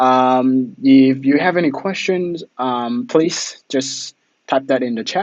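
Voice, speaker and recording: A man speaks very slowly at a medium pitch, with ordinary pitch variation. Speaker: web marketing trainer. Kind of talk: webinar training. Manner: many fillers (um, uh).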